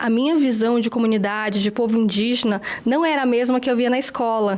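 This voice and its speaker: Noticeable background noise behind a woman's high pitch, moderate pace and ordinary pitch variation. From Brazil, northern region (Acre / Rondônia). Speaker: journalist. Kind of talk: interview.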